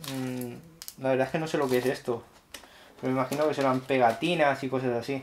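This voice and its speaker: Over light background noise, a man with a Spanish accent speaks at a medium pitch and a fairly quick pace. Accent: Peninsular Spanish. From Spain. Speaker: tech YouTuber. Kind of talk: unboxing tutorial. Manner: animated. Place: home room.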